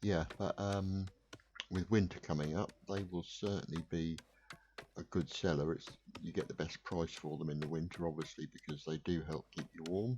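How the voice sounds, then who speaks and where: Speaking at a moderate pace, a man uses a very deep, low pitch, a relaxed tone and fairly even intonation. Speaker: gaming video creator. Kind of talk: gameplay commentary. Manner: relaxed, hesitant with fillers.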